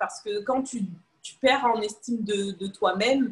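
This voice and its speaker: Speaking at a moderate pace, a woman uses a fairly high pitch that varies in an ordinary way. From Paris region, France. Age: 20s. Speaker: podcast guest sharing personal story. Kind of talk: casual interview. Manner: hesitant.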